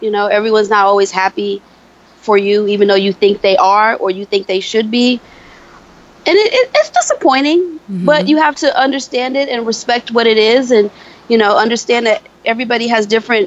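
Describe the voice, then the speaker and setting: Over noticeable background noise, a woman with an American accent speaks at a fairly quick pace and a fairly high pitch, with ordinary pitch variation. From upstate New York (Buffalo). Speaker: beauty consultant and author. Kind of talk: interview podcast. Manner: halting, many fillers.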